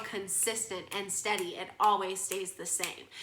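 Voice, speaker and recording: A woman speaks in an animated tone at a fairly slow pace. Room echo is audible. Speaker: kindergarten music teacher. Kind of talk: online lesson for young children.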